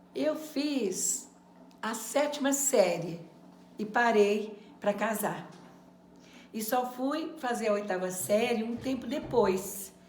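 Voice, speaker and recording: At a very slow pace, a woman with a fairly high pitch and lively intonation pauses long and often, with audible room echo and noticeable background noise. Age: 70s. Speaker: adult education former student. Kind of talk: testimony.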